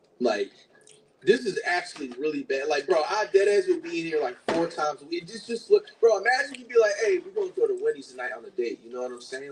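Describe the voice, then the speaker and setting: A man talks in an animated tone at a fairly quick pace. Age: 30s. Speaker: streamer reacting to videos. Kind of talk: casual reaction stream chat.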